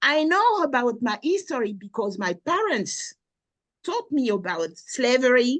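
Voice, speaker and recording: A woman's high-pitched voice with a strong French accent. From France, Normandy. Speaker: researcher and lecturer. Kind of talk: interview.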